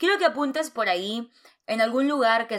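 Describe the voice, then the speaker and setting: The recording is very clean against a silent background. Her tone is animated, and the speaker is a woman. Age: 30s. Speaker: podcast host. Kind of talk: personal monologue.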